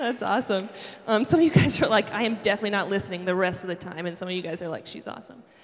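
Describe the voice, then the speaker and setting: Speaking very fast with an American accent, a woman holds a medium pitch with ordinary pitch variation and big swings in loudness, over noticeable background noise. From Buffalo, New York. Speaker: campus ministry director and worship leader. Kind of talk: sermon. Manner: casual, conversational with many fillers.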